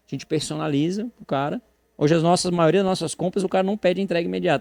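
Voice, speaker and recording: A man talks at a very fast pace with lively intonation. The sound is dry and close with no echo, against a quiet background. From Brazil, Florianópolis, Santa Catarina. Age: 40s. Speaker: horse breeder. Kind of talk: podcast interview. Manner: animated.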